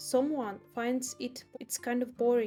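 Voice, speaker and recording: Over music in the background, a woman talks at a fairly slow pace with a fairly high pitch. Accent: strong non-native. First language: not English. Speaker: illustrator and small business owner. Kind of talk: casual voice-over narration.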